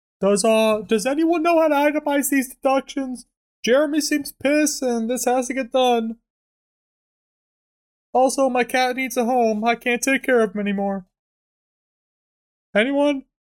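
A put-on character voice, whiny in tone and whiny overall, at a moderate pace with ordinary pitch variation and long, frequent pauses, on a very clean recording with a silent background. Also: man, extremely high pitch for a man. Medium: comedy sketch. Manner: plaintive, whiny.

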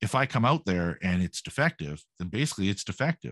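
A man speaks in a Canadian accent with a normal speaking voice, pitched fairly low. The background is quiet. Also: dry, close sound with no echo. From Canada. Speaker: podcast host. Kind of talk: casual interview chat.

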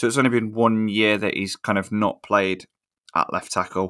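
A man with a fairly low pitch speaks fairly quickly in a flat monotone. The sound is dry and close with no echo, on a very clean recording with a silent background. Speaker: podcast co-host.

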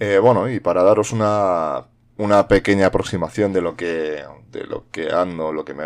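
Loudness swings widely as a man speaks at a fairly slow pace. His intonation stays fairly even. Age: 40s. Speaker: podcast host. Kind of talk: solo monologue podcast. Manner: halting, many fillers and repetitions.

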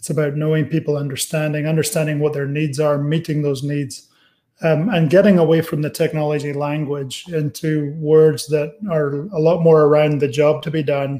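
In a dark, mellow tone, a man with an American accent speaks at a moderate pace, his fairly high pitch held in a monotone, flat intonation. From Scotland (Aberdeen). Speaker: technology executive. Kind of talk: interview.

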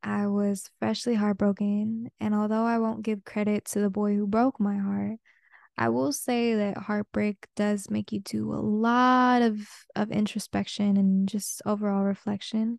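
Speaking at a fairly slow pace with a Spanish accent, a woman at medium pitch keeps her intonation fairly even, in a dry, close sound with no echo and a quiet background. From Peruvian family, raised mostly outside Peru. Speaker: podcast host. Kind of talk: casual solo monologue.

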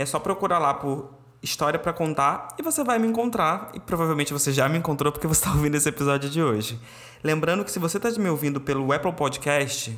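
A man's fairly high pitch at a very fast pace, with ordinary pitch variation and very even loudness. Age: 30s. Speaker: podcast host. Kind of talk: casual chat.

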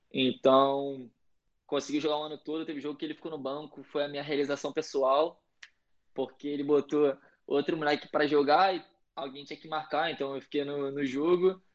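Speaking with a Rio de Janeiro accent at a fairly quick pace, the man has a fairly high pitch, a monotone, flat intonation and big swings in loudness. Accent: Carioca Brazilian Portuguese. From Brazil, Rio de Janeiro. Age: 20s. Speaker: college soccer player. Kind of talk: casual interview.

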